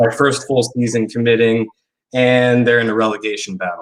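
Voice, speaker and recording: In an American accent, a man speaks at a moderate pace with a medium pitch. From Indiana, US Midwest. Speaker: football fan guest. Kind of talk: casual interview chat. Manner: hesitant, many fillers.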